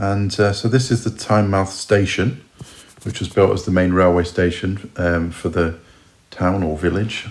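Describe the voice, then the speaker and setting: With a southern English accent, a man speaks at a moderate pace in a very deep, low pitch. His intonation is fairly even, and noticeable background noise is present. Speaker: travel vlogger. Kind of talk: casual vlog narration. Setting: outdoors. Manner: casual, hesitant with many fillers.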